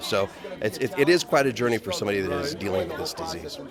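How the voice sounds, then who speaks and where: Over noticeable background noise, a man's voice makes very wide pitch swings. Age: 40s. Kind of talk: red carpet interview. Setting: gala red carpet.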